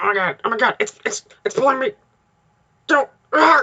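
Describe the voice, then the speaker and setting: A put-on character voice sits at a high pitch with very wide pitch swings. The pace is fairly quick. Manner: character voice done carefully right; panicked, frantic.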